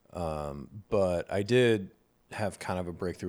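A man speaks at a fairly slow pace. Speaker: podcast co-host. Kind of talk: casual banter and candid conversation.

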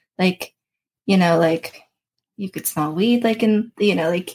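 At a moderate pace, a woman speaks in a somewhat breathy, medium-pitched voice with ordinary pitch variation. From Florida, Daytona Beach. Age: 30s. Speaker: mental health advocate, person in recovery. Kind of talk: casual interview chat. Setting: studio.

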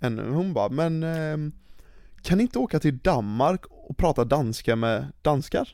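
Dark, mellow tone paired with lively intonation. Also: man, fairly high pitch for a man, fairly slow pace. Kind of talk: casual chat. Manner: casual.

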